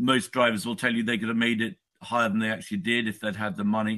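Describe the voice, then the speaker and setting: In an English accent, the speaker has a bright, sharp tone and fairly even intonation. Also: man. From England. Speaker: author. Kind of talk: interview.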